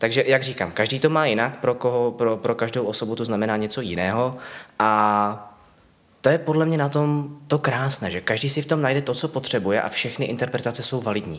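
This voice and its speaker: A man speaks at a fairly quick pace in a normal speaking voice, his pitch medium. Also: ordinary pitch variation. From Czechia, Ostrava. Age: 20s. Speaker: puppy play titleholder. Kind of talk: casual interview.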